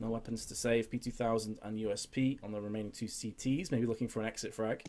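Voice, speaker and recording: A man with an English accent, medium-pitched and dark and mellow in tone, at a very fast pace. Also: fairly even intonation. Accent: English accent, often mistaken for others. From northeast England. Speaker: esports caster. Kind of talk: live commentary.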